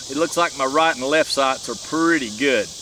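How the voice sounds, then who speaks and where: The pace is moderate. Noticeable background noise runs under the voice. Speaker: gun reviewer. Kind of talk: casual product review at shooting range. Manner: loud.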